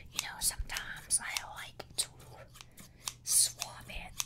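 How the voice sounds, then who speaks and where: A woman whispers very slowly, with long, frequent pauses between words. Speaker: ASMR creator. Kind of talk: ASMR personal attention, casual talk to camera. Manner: soft-spoken, whispery. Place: home room. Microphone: studio mic.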